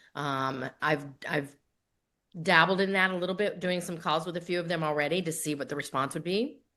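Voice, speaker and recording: A woman talks at a fairly quick pace with a fairly low pitch and ordinary pitch variation. Her tone is bright and sharp over a quiet background. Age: 60s. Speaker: grief author and coach. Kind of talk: podcast interview.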